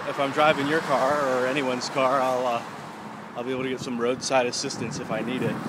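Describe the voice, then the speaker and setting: A man speaks at a fairly quick pace. Noticeable background noise runs under his voice. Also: dry sound with no echo. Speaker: video blogger. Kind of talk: casual vlog chat. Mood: relaxed, musing. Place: street. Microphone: phone near.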